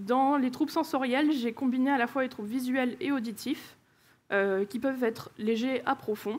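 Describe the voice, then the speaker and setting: The recording is very clean, with a silent background. A woman speaks at a fairly high pitch and a moderate pace, with ordinary pitch variation. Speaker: conference speaker, engineering manager. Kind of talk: conference talk. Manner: hesitant, many filler sounds.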